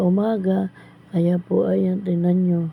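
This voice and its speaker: A woman's somewhat breathy, fairly low-pitched voice, fairly slow and monotone, with flat intonation. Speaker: vlogger. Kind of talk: vlog voice-over narration. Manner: polite, casual.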